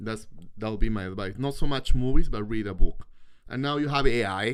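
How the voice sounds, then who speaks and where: With a non-native accent, a man talks at a fairly quick pace with medium pitch and ordinary pitch variation. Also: big swings in loudness. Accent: foreign accent in English. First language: not English. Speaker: host's partner appearing on live stream. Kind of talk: casual chat on live stream. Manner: animated.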